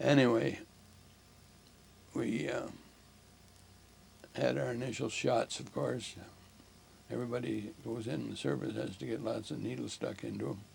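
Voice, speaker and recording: With vocal fry and very wide pitch swings, a man talks at a fairly low pitch, leaving long, frequent pauses. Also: moderate pace. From Ontario, Canada. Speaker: war veteran, retired air force pilot. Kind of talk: interview answer.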